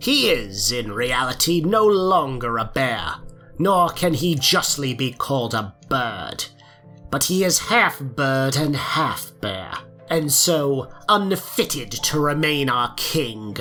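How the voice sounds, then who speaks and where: Clear music plays behind a put-on character voice. The low-to-middle pitched delivery comes at a fairly slow pace. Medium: audio drama. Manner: grave, self-assured.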